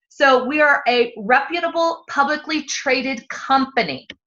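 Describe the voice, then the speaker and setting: Her voice raised and projected, a woman speaks at a high pitch with a bright, sharp tone. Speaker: network marketing presenter. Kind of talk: sales presentation. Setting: live online presentation.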